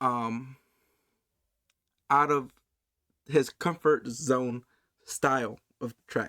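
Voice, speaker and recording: Ordinary pitch variation shapes this man's medium pitch, captured in a very clean recording with a silent background. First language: Spanish. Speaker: reaction youtuber. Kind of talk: casual reaction commentary. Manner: halting, stumbles over words.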